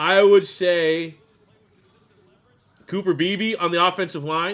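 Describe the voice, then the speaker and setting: A man's high-pitched voice at a very slow pace. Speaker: NFL draft live streamer. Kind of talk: live reaction stream. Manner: animated.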